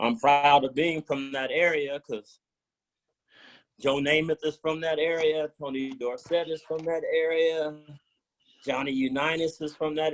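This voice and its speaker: In an ordinary speaking voice, a man with an American accent talks at a moderate pace, his pitch fairly high and his intonation fairly even. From northwestern Pennsylvania and Cleveland, Ohio. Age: 60s. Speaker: former pro football player. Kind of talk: mentoring talk. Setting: video call.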